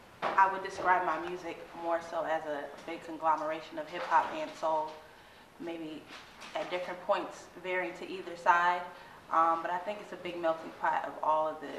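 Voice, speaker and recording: A woman with an American accent speaks at a moderate pace in a fairly low pitch, her intonation monotone and flat, her loudness swinging widely, amid audible room echo and noticeable background noise. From Boston. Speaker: hip hop and soul musician. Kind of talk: interview.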